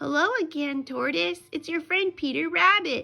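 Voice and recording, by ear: Faint music plays behind a woman doing a cartoonish character voice at an extremely high pitch, bright and sharp in tone, with vocal fry, ordinary pitch variation and a moderate pace.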